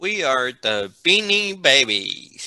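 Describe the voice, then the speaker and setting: A put-on character voice sits at a low-to-middle pitch and moves through very wide pitch swings. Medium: read story.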